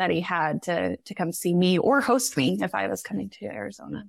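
A woman at a moderate pace, medium in pitch with vocal fry, in a very clean recording with a silent background. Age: 30s. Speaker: podcast guest, wife of a surgical resident. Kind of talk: casual chat.

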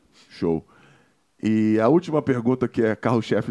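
A man's very deep, low voice with an animated tone at a moderate pace. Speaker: podcast host, former footballer. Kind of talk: casual chat.

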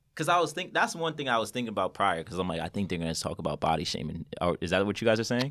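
In a New York accent, a man with a fairly low pitch talks in an animated tone at a very fast pace, with very wide pitch swings and hardly any pauses. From New York, Westchester. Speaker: podcast host. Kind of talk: casual chat.

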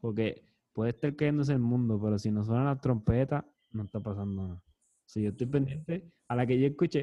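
His pitch medium and varying in an ordinary way, a man talks at a very fast pace. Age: 30s. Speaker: podcast host. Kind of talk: casual chat.

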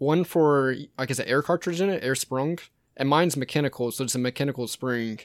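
A man with an American accent talks at a fairly quick pace, his pitch fairly high. He has an unremarkable speaking voice, on a very clean recording with a silent background. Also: ordinary pitch variation. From US South, Georgia (Savannah area). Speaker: former paramedic, mountain biker. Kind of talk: casual chat.

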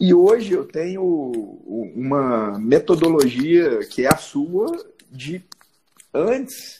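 Speaking very slowly with long, frequent pauses, a man with a high pitch and a dark, mellow tone swings his pitch very widely. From Minas Gerais, Zona da Mata (Rio Pomba, Juiz de Fora). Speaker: orthopedic surgeon. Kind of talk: casual interview chat.

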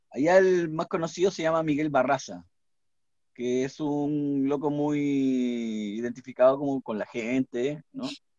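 A man with a plain, everyday voice, pitched fairly high, with ordinary pitch variation. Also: fairly slow pace. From Peru, Lima. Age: 40s. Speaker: singer-songwriter. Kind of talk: casual chat.

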